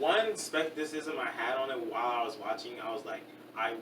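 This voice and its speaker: A man talks fairly quickly, with noticeable background noise in the recording. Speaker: podcast co-host. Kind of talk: casual chat. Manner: casual, stumbling.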